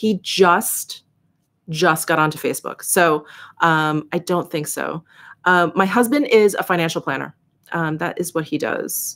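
With an American accent, the speaker goes at a fairly slow pace with ordinary pitch variation. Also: woman, fairly low pitch for a woman. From New York City. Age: 40s. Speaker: beauty YouTuber. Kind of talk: livestream Q&A chat. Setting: home livestream. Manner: casual, chatty. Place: home room.

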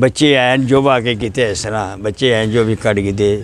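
The man's voice is recorded dry, with no echo. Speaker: local caretaker or acquaintance of the graveyard man, interview answer. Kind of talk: interview answer. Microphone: lapel.

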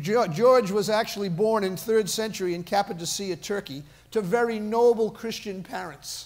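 Pitched high, a man speaks at a fairly slow pace. His pitch variation is ordinary. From US, Boston area. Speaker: pastor. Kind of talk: sermon. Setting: church. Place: church.

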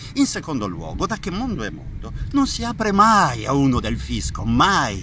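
Light background noise sits under speech that proceeds at a moderate pace. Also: man, dry sound with no echo. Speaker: actor in a film scene. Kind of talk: angry dramatic rant.

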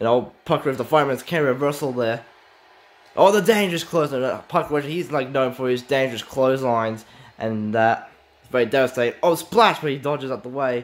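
Here is a man with an unremarkable speaking voice at a medium pitch. He talks at a fairly quick pace with ordinary pitch variation. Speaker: hobbyist wrestling-game commentator. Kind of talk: amateur play-by-play wrestling commentary over a simulated match. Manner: excitable, rapid-fire blow-by-blow exclamations; stumbling, repetitive phrasing with filler restarts.

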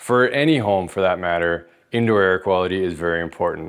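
Fairly quick pace from a man's voice. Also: quiet background. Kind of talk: explainer tutorial. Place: home room. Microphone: lapel.

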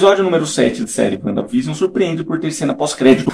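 A man speaks with very wide pitch swings over light background noise. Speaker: youtuber reviewing a TV series. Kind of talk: casual vlog commentary. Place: home room. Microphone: studio mic.

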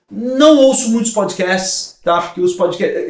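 Speaking at a moderate pace, a man's voice comes with audible room echo. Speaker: marketing director and entrepreneur; podcast guest. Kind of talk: casual interview chat. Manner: animated. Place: studio.

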